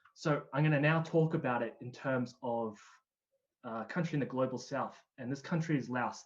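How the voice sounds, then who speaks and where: Here a man talks with an Australian accent. His pace is moderate and his pitch variation ordinary. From Australia (Canberra). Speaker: climate change specialist. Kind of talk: presentation. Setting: online livestream event.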